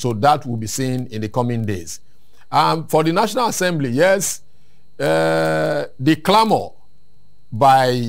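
A man talks fairly slowly with only a quiet background behind him. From Nigeria. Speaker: civil society activist; guest. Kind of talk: interview. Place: studio. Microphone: lapel.

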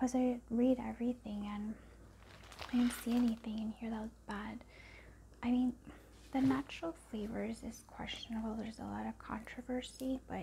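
A soft-spoken woman at a moderate pace over light background noise. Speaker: vlogger. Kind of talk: casual haul vlog chat. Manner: soft, close ASMR speaking voice. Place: home room. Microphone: phone near.

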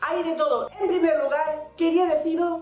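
Speaking in an Andalusian accent at a moderate pace, a woman sounds animated, with audible room echo and faint music in the background. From Andalusia, Spain. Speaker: vlogger. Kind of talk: casual talk to camera. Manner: animated, expressive. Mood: annoyed, complaining. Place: home room.

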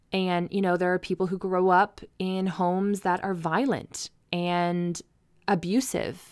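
A woman speaks at a fairly slow pace in an ordinary speaking voice, her pitch medium and her intonation fairly even. The recording is very clean, with a silent background. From Ontario, Canada (rural, near Mitchell). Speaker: podcast host, massage therapist. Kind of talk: personal storytelling monologue.

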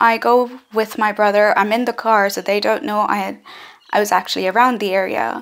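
Pitch varies in an ordinary way while the talking holds a moderate pace. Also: woman. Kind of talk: personal account to camera. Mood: serious, reflective. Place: home room. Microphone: phone near.

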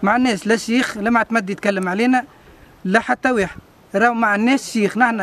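A central Tunisian accent, fairly even intonation and a moderate pace, over noticeable background noise. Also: man. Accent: rural central Tunisian Arabic. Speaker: villager, cousin of accident victim. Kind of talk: on-site interview complaint to local radio.

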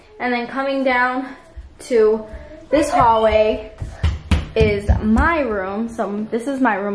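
Over noticeable background noise, a woman speaks at a very slow pace. Her pitch variation is ordinary, and she takes long, frequent pauses. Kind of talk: casual vlog chat. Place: home room. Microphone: phone near.

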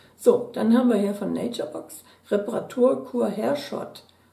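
A woman speaks at a very slow pace. Audible room echo surrounds her voice. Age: 60s. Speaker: beauty product YouTuber. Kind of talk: unboxing video, casual chat. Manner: chatty. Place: home room.

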